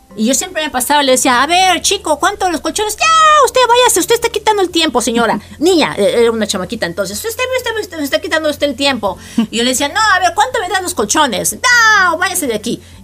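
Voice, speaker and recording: Very fast and extremely high-pitched, a woman's voice leaps through very wide pitch swings. Noticeable background noise is present. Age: 50s. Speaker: podcast host. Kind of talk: casual chat.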